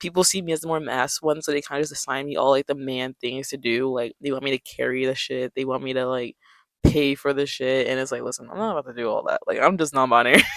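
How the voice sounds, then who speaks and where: Talking very fast with an American accent, a man with a fairly high pitch keeps a fairly even intonation on a very clean, dry, close recording with no echo and a silent background. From New York City. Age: 20s. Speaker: vlogger. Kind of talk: casual chat.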